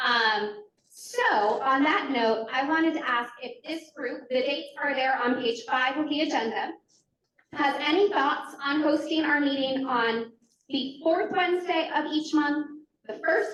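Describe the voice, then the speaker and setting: A loud woman's voice, high-pitched with lively intonation, at a fairly slow pace amid audible room echo. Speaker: committee meeting facilitator. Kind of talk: committee meeting.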